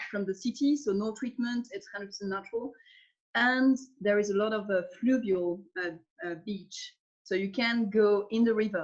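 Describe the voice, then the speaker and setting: A woman's medium-pitched, somewhat breathy voice with a French accent, at a moderate pace with ordinary pitch variation, over a quiet background. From Alsace, eastern France. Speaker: winemaker. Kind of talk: interview. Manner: halting.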